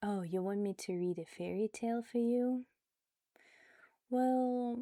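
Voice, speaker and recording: Soft-spoken and very slow, a woman talks at a fairly high pitch in a calm, gentle tone that is also dark and mellow, with lively intonation. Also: dry, close sound with no echo, very clean recording, silent background. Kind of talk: casual talk to listener. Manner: soft-spoken, calm, gentle pace.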